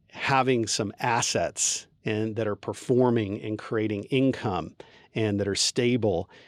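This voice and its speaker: A man speaks at a fairly slow pace with fairly even intonation, in an unremarkable speaking voice. The recording is very clean, with a silent background. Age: 50s. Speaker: divorce attorney. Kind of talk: podcast interview.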